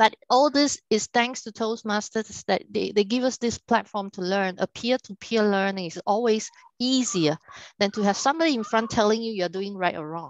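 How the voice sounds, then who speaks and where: Here a woman speaks at a fairly high pitch. Her pace is moderate. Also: ordinary pitch variation. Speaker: workshop speaker on leadership. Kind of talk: online workshop talk. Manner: speeds up when excited.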